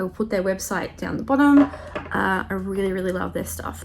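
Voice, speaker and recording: Background noise is noticeable. A woman speaks at a moderate pace with an Australian accent. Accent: Australian, noticeable to viewers. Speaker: makeup tutorial youtuber. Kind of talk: tutorial. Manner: casual, filler-heavy.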